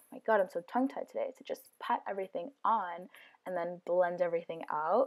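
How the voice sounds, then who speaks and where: Using an ordinary speaking voice, a woman talks with ordinary pitch variation. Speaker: beauty vlogger. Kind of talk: voice-over makeup tutorial. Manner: casual, filler-heavy.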